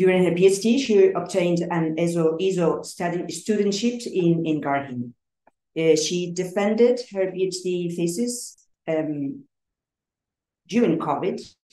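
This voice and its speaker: At a fairly slow pace, a dark, mellow tone with ordinary pitch variation carries through audible room echo. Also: woman, fairly low pitch for a woman. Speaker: colloquium organizer. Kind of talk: speaker introduction. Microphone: video call.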